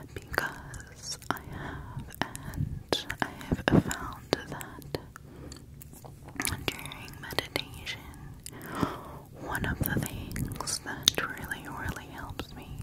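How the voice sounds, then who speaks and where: The speaker whispers, soft-spoken, at a very slow pace. Long pauses come often. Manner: soft close ear whisper.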